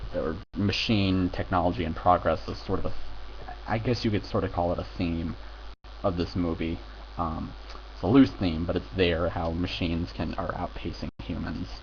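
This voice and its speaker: At a moderate pace, a voice with an American accent and vocal fry swings very widely in pitch. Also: man, very deep, low pitch for a man. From United States. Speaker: film reviewer. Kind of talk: casual video review. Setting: home recording with headphones. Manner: halting, many fillers.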